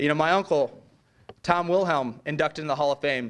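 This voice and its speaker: An American-accented man speaks very fast in a fairly high pitch, with ordinary pitch variation against a quiet background. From US Midwest, Lorain, Ohio. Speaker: hall of fame inductee, former athlete. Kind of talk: acceptance speech.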